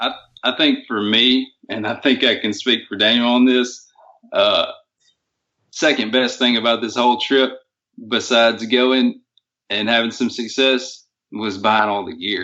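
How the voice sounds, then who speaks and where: A man with a Southern accent, medium in pitch and fairly slow, with fairly even intonation and long, frequent pauses. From US South. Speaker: hunter. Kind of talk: interview.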